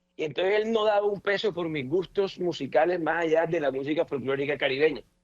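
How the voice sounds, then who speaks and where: A man speaks very fast in a high pitch, with ordinary pitch variation. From Colombian Caribbean coast. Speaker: politician, senator. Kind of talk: radio interview, personal remembrance.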